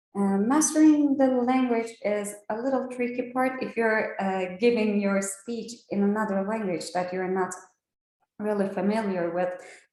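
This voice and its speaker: In a Turkish accent, a woman speaks at a fairly high pitch with ordinary pitch variation amid audible room echo. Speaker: trainer. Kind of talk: training lecture. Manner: slow; hesitant, many fillers.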